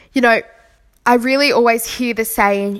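At a moderate pace, a woman speaks in a high pitch with an Australian accent. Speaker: podcast host. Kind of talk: solo podcast monologue on spirituality.

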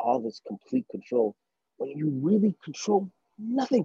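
This man's voice has a dark, mellow, somewhat breathy tone with very wide pitch swings, delivered at a moderate pace in a dry, close sound with no echo. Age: 30s. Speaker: podcast co-host. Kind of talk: casual chat. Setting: outdoors.

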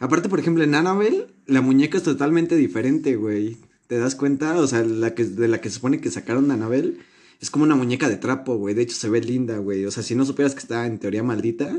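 A man talking at a very fast pace, medium in pitch, with ordinary pitch variation. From Mexico. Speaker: podcast host. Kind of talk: casual chat. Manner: animated.

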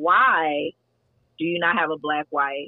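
There's an American accent in this woman's speech. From Texas. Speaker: podcast host. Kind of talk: casual chat.

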